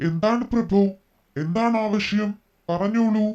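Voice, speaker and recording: Using a put-on character voice, a woman speaks loudly at a fairly slow pace and medium pitch. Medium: read story. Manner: loud, commanding.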